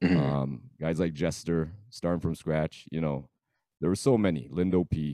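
At a moderate pace, a man with a very deep, low pitch and a dark, mellow tone speaks with ordinary pitch variation, in a dry, close sound with no echo. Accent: Toronto. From Scarborough, Toronto, Canada. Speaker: DJ. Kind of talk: casual interview.

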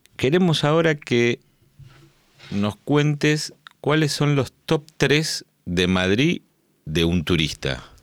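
Speaking very slowly with long, frequent pauses, a man with a fairly high pitch swings very widely in tone while keeping his loudness very even, all in a dry, close sound with no echo. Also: very clean recording, silent background. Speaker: podcast host. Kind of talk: casual interview chat. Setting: studio.

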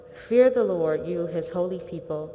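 Noticeable background noise sits behind this woman's voice. She talks at a fairly slow pace with a fairly low pitch. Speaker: prayer leader. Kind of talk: prayer. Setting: stage with audience.

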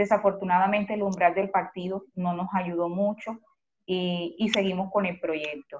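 A woman's monotone, flat delivery in a Colombian Caribbean accent. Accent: Colombian Caribbean coastal Spanish. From Colombia, Cartagena. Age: 40s. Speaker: community organizer. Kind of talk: interview.

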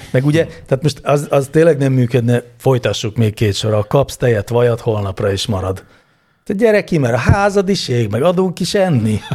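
Somewhat breathy and moving at a moderate pace, the voice makes very wide pitch swings. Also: man, medium pitch for a man. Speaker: podcast co-host. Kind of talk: casual chat answering listener questions.

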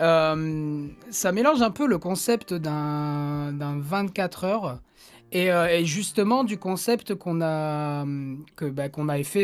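Here a man speaks at a fairly high pitch. His pitch varies in an ordinary way. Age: 20s. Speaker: podcast co-host and musician. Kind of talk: casual chat. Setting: online voice call.

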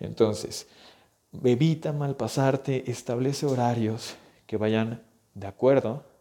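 A man's medium-pitched voice in a dark, mellow tone at a very slow pace. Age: 20s. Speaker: physical therapist and health coach podcast host. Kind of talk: solo educational podcast monologue. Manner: conversational, with fillers and repetitions.

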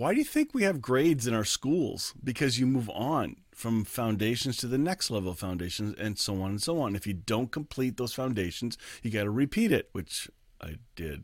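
The voice moves at a moderate pace with lively intonation. The recording is very clean, with a silent background. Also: man, medium pitch for a man. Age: 50s. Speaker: pastor. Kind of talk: sermon. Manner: halting.

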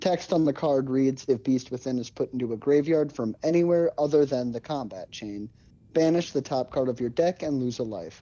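An unremarkable speaking voice with ordinary pitch variation, at a moderate pace over a quiet background. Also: man, medium pitch for a man. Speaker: podcast co-host. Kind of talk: casual chat. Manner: joking, irreverent.

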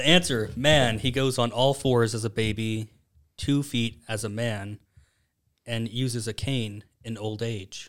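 An unremarkable speaking voice from a man at medium pitch, fairly slow and fairly even in intonation, on a very clean recording with a silent background. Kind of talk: casual chat.

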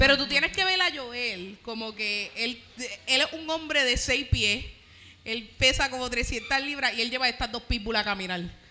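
A woman speaks at a moderate pace in a high, raised, projected voice with lively intonation. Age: 20s. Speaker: comedian. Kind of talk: casual chat.

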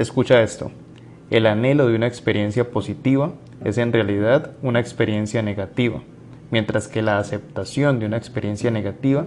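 A man speaks at a moderate pace with a medium pitch. He has a normal speaking voice with ordinary pitch variation. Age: 20s. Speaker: podcast host, lawyer and entrepreneur. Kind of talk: solo podcast monologue on anxiety.

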